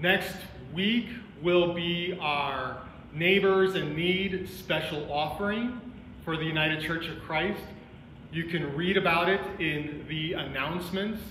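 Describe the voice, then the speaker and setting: A high-pitched man speaking very slowly, with audible room echo and light background noise. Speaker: pastor. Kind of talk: worship welcome and announcements. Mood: warm, welcoming. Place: church.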